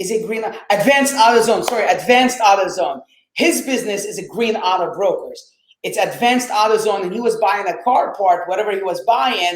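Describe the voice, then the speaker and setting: In an Arabic accent, a man speaks in an animated tone at a fairly quick pace. His pitch is high, with ordinary variation. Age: 20s. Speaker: real estate investor. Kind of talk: interview storytelling.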